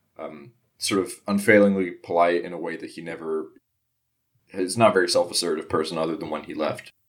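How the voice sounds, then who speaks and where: Here a man is talking. His pace is fairly quick. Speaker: player in tabletop game. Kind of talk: casual chat, tabletop game podcast. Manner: animated, joking.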